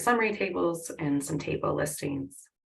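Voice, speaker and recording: A woman with an American accent talks at a moderate speed. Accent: Southern twang, at times. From US South. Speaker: workshop instructor, R programmer. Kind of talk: online workshop with audience polls.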